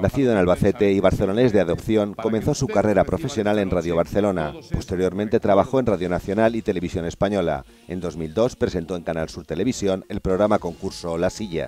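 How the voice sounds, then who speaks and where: Talking at a very fast pace with hardly any pauses, a man uses a fairly low pitch with ordinary pitch variation. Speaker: TV news reporter. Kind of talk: TV news report narration.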